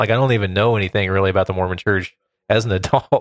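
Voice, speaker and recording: This man's fairly low voice has fairly even intonation. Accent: Midwestern American. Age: 30s. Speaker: podcaster. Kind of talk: casual chat.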